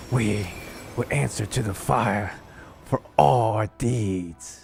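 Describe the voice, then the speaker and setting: With faint music in the background, a man does a put-on character voice at a fairly low pitch and a very slow pace. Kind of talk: grandiose, declamatory. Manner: dramatic, solemn.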